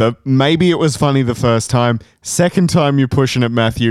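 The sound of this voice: Heard here is an unforced reading voice.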